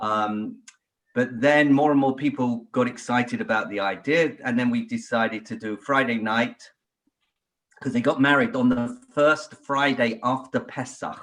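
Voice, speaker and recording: A man with a British accent at a medium pitch, fairly even intonation and moderate pace. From England. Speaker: podcast guest, royal family enthusiast. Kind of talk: casual chat.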